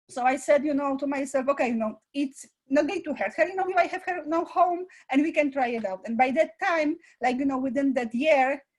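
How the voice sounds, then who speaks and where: Speaking at a fairly quick pace, a woman with a non-native accent uses a high pitch and ordinary pitch variation. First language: not English. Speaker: school founder and director; parent. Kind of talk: interview. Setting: live online presentation. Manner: halting, many fillers.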